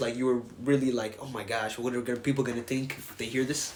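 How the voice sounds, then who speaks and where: Over noticeable background noise, a man with a medium pitch races along at a very fast pace in a monotone, flat intonation, with big swings in loudness. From Africa, moved to America at about four. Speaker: podcast host. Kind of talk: casual podcast conversation.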